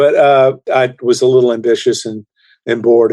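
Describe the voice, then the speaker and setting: At a fairly quick pace, a man with a dark, mellow tone speaks in a monotone, flat way, recorded with a dry, close sound and no echo. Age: 60s. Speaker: singer-songwriter. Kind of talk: interview conversation.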